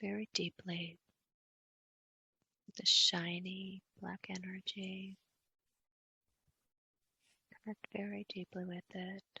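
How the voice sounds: The voice is bright and sharp, with vocal fry and a husky, rough edge, and the sound is dry and close with no echo. It moves slowly with little pitch movement and long, frequent pauses. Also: woman.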